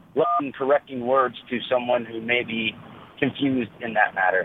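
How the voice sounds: At a moderate pace, a man with an American accent speaks at medium pitch with ordinary pitch variation and a slightly husky edge.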